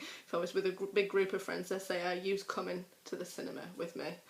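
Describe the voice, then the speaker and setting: This woman speaks with a North Yorkshire accent. Her pitch is medium. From Harrogate, North Yorkshire, England. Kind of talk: accent tag, casual talk to camera.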